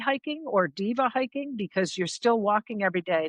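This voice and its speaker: With lively intonation and a normal speaking voice, a woman talks at a moderate pace in a dry, close sound with no echo against a quiet background. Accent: American. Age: 60s. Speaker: long-distance hiker. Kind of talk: casual interview chat. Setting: remote call.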